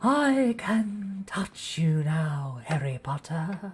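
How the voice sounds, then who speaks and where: A raspy, put-on character voice at a middle pitch speaks at a very slow pace. Hissing and light background noise can be heard. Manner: menacing.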